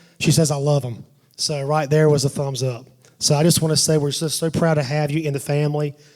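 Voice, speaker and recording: Fairly quick, monotone, flat speech from a man with a fairly high pitch. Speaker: father of the bride giving a wedding toast. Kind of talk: wedding toast. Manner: loud, voice carries; halting, many restarts and fillers.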